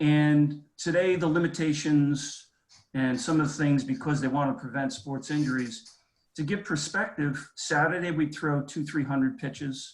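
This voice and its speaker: A somewhat breathy man with an American accent at a moderate pace. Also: fairly high pitch for a man, ordinary pitch variation. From New York City (Bronx). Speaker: alumni event moderator. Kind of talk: panel discussion. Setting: video call.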